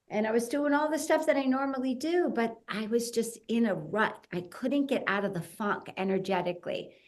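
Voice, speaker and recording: Speaking with an American accent, a woman uses an unremarkable speaking voice at a fairly high pitch, moving at a moderate pace with lively intonation and hardly any pauses. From US Northeast (New Jersey). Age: 60s. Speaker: fitness entrepreneur. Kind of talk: podcast interview. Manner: conversational, many fillers.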